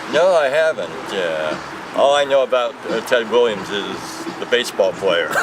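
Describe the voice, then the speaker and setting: A man speaking with an American accent keeps a moderate pace despite noticeable background noise. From US West Coast, Los Angeles. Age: 60s. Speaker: store clerk, former lawyer. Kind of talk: casual interview.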